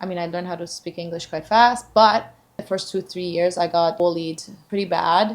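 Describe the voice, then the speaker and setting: A woman with a Persian accent speaks at a moderate pace in a fairly low pitch. Her intonation stays fairly even, while her loudness swings widely. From Iran, moved to Canada at eleven. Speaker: sober lifestyle channel host. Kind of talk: casual chat.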